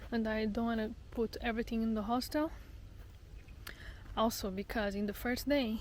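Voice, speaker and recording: Delivered at a moderate pace with long, frequent pauses, this somewhat breathy voice keeps a fairly even intonation and very even loudness. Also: woman, fairly high pitch for a woman. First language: not English. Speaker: travel vlogger. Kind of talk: casual vlog monologue. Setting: outdoors on a hike. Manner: halting, repeats words.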